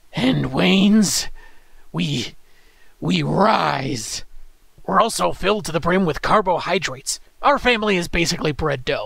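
A man uses a put-on character voice, high-pitched and raspy. He keeps a moderate pace with long, frequent pauses. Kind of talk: comic review show host. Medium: solo performance. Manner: dry, sarcastic, conversational.

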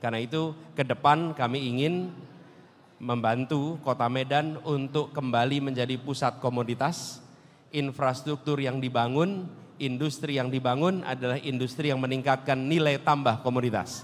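Moderate pace, with fairly even intonation. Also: man. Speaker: politician answering an audience. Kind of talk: public speech answer. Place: hall. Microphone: handheld.

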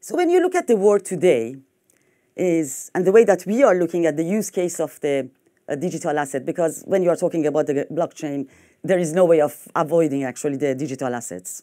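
A woman in a French accent, fairly low-pitched with a dark, mellow tone, ordinary pitch variation and a fairly quick pace, against a quiet background. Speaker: fintech executive. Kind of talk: conference talk. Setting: stage with audience. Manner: halting. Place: hall.

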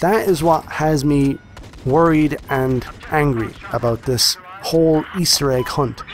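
Against noticeable background noise, a man speaks slowly-ish at a fairly slow pace with a fairly high pitch. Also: ordinary pitch variation, very even loudness. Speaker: gaming YouTuber. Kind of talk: video game review commentary over gameplay. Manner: casual, friendly, direct to audience.

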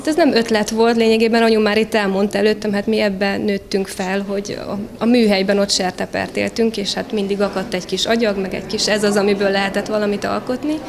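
A woman speaks with fairly even intonation over noticeable background noise. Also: medium pitch for a woman, fairly quick pace, hardly any pauses. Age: young. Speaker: craft artist. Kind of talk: interview. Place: hall. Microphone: handheld.

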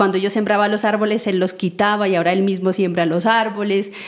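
A woman's mid-range voice moves along at a fairly quick clip. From Colombia, Nariño department near Pasto. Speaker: seed network founder and coordinator. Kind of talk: interview. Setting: in person in Nariño, Colombia.

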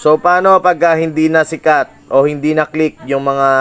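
A man with lively intonation talks at a fairly slow pace. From Philippines. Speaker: reaction video creator. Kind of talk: commentary rant. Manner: animated.

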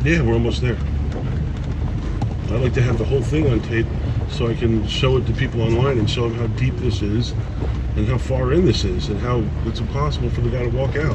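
A man talks with long, frequent pauses over loud background noise. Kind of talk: casual ride-along commentary. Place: car.

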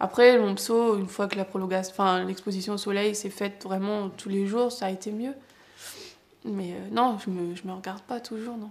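A woman speaks with fairly even intonation, her loudness swinging widely from moment to moment. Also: moderate pace. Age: 20s. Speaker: person living with psoriasis. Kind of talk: personal testimony. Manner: halting, with frequent hesitations. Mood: emotional, candid, hesitant. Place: home room.

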